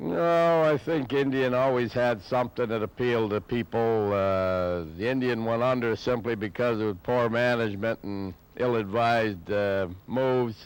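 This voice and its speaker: A man speaks at a medium pitch with ordinary pitch variation in an unremarkable speaking voice. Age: 60s. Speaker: motorcycle restorer. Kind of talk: interview testimony.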